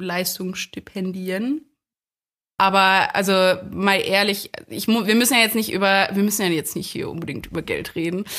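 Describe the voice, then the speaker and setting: At a moderate pace, a woman speaks at medium pitch. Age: 20s. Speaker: medical student. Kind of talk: casual chat. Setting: online conference call.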